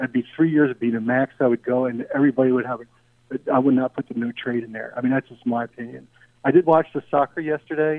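Talking very fast with an American accent, a man keeps a medium pitch and fairly even intonation, though his loudness swings a lot. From Philadelphia, US. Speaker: sports radio caller. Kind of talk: casual call-in chat. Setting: phone call.

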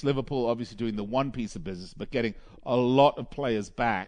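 This man has an ordinary speaking voice. He talks at a fairly quick pace and a medium pitch. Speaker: radio host. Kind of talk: live sports radio show. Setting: studio. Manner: chatty, filler-heavy.

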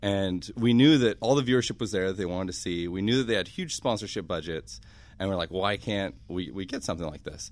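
A man with a normal speaking voice talks at a fairly quick pace, fairly low in pitch with ordinary pitch variation. The background is quiet. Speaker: venture investor in esports. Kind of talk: casual chat. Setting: studio.

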